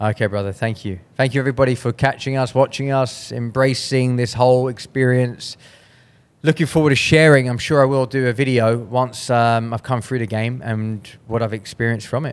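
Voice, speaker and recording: This man speaks fairly quickly, with a medium pitch. His intonation stays fairly even. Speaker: podcast host. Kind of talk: interview wrap-up. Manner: fast.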